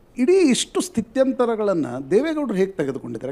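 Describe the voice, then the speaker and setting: A man is speaking. His tone is dark and mellow. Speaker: journalist. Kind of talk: interview question.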